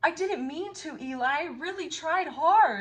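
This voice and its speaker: A woman's put-on character voice, extremely high in pitch. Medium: read story. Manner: timid.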